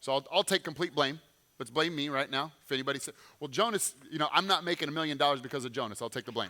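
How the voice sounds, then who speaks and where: Very fast and animated, a man talks in a fairly high pitch with a bright, sharp tone and ordinary pitch variation. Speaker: former pro football player, clinic owner. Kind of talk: motivational talk to audience.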